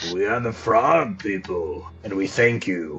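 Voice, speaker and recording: A man speaks in a guttural, put-on character voice at medium pitch and a fairly slow pace, with clear background noise. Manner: ceremonial, grateful.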